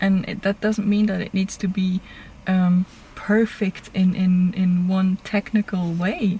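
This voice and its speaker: A woman with a non-native accent speaks in a flat monotone at a fairly slow pace over noticeable background noise. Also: medium pitch for a woman. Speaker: web TV interviewer. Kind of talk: casual interview chat.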